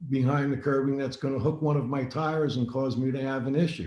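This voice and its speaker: A man talks in a fairly high pitch, somewhat breathy. There is audible room echo. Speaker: racing driving instructor. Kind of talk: webinar lecture.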